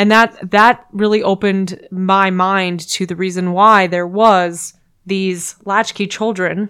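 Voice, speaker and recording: A woman speaks in a flat monotone. Her pace is very slow. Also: medium pitch for a woman. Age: 30s. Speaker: podcast guest. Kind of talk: casual chat.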